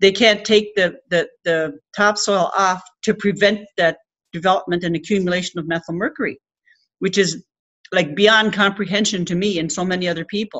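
A woman with a Labrador accent speaks at a moderate pace with fairly even intonation against a quiet background. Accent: Labrador Canadian English. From Rigolet, Labrador, Canada. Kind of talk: speech to an audience. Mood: earnest, indignant. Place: meeting room. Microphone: webcam.

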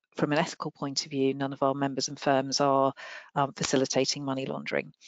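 The sound is dry with no echo against a quiet background. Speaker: regulatory standards head. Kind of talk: Q&A answers. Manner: halting. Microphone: headset.

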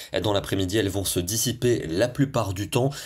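Somewhat breathy and fairly low in pitch, a man talks at a moderate pace in a very clean recording with a silent background. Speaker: TV weather presenter. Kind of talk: scripted weather bulletin, brisk broadcast forecast read to camera. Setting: studio. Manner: smooth, steady newsreader delivery rattling through regions and temperatures; warm, friendly sign-off tone.

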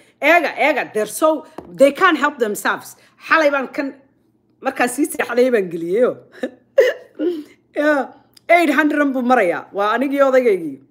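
Against a quiet background, a woman speaks at a fairly slow pace in a high voice with lively intonation. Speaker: online show host. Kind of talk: casual vlog monologue. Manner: animated.

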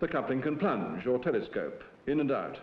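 Vocal fry runs through this fairly quick speech, and audible room echo surrounds it. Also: man. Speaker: professor presenting film. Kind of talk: scripted educational film narration, lecture-style. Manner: formal, measured, didactic. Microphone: old recording.

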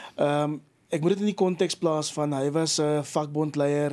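A man's fairly high voice, dark and mellow in tone, with fairly even intonation. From South Africa. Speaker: agricultural initiative founder; interview guest. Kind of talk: radio interview. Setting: studio. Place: studio. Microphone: studio mic.

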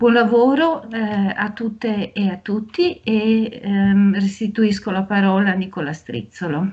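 Against a quiet background, a somewhat breathy woman speaks very slowly at medium pitch with ordinary pitch variation. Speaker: university professor. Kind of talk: formal welcome speech. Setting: video call. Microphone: video call.

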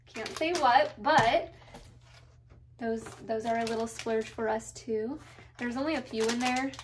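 Over noticeable background noise, a woman talks at a fairly slow pace with ordinary pitch variation. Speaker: vlogger. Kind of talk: casual vlog chat. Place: kitchen. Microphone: phone near.

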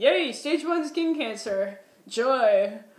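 With an American accent and lively intonation, a woman talks at a very slow pace amid audible room echo. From Minnesota. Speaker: vlogger. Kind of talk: casual storytelling vlog. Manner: animated.

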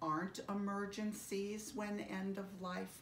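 A woman at a very slow pace, with audible room echo and light background noise. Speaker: end-of-life educator. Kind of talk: educational talk to camera. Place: home room. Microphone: phone near.

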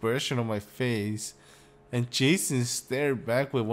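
The speaker is reading aloud in a natural voice. Nothing else stands out.

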